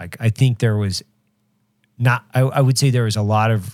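The recording is very clean with a silent background and a dry, close sound with no echo, carrying an ordinary speaking voice. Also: man. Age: 40s. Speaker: podcast host. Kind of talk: casual chat.

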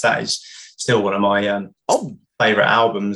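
A man with a British accent. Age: 30s. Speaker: music journalist and author. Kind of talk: casual interview.

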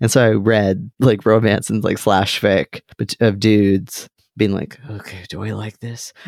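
Recorded dry and close with no echo, a man speaks at a fairly slow pace. His loudness swings a lot. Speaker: podcast co-host. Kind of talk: casual chat. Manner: animated.

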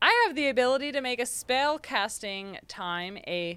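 A high-pitched woman speaks at a very slow pace with very wide pitch swings. Music sits in the background. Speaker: tabletop game player. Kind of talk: casual game chat.

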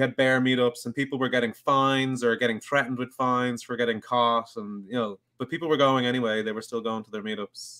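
With a Dublin accent, a man speaks at a fairly quick pace with fairly even intonation. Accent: Dublin Irish. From Dublin, Ireland. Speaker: podcast host interviewing a fellow podcaster. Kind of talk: casual chat. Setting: live online stream.

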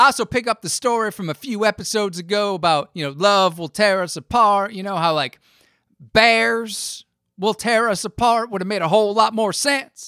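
A man's raised, projected voice, high in pitch, with ordinary pitch variation and a dry, close sound free of echo. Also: moderate pace. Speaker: podcast host. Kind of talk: casual chat; scripted narration. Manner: animated.

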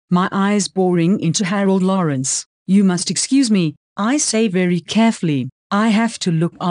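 The reading aloud is plain, with ordinary pitch variation and a quiet background.

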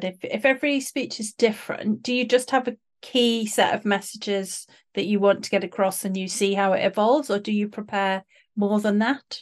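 A woman speaks in a fairly high voice against a quiet background. She has an ordinary speaking voice. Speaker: podcast host. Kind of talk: casual interview chat. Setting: video call.

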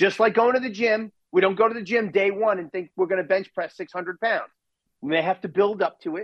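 A man with a high pitch talks at a fairly quick pace, his pitch varying in an ordinary way. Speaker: priest. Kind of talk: interview, advice on Lent.

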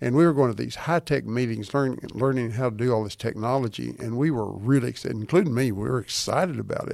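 A man speaks at a very fast pace with a medium pitch, ordinary pitch variation and hardly any pauses. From Texas. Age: 80s. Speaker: physician and author. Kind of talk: interview.

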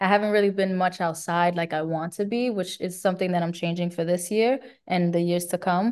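In a Bronx accent, a woman speaks at a medium pitch and a fairly quick pace with fairly even intonation against a quiet background. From New York, the Bronx. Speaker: singer. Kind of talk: casual chat. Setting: remote interview.

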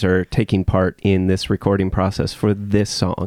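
A man with a fairly low pitch and an ordinary speaking voice talks at a fairly quick pace, recorded with a dry, close sound and no echo. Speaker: podcast host.

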